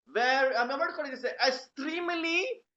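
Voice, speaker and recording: A man speaks with a Malaysian accent. His pace is moderate. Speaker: lecturer. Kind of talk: lecture. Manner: loud; animated.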